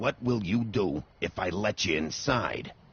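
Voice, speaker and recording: A man growls in a put-on character voice at a fairly low pitch. He takes a fairly slow pace. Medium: video game. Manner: curt, interrogating.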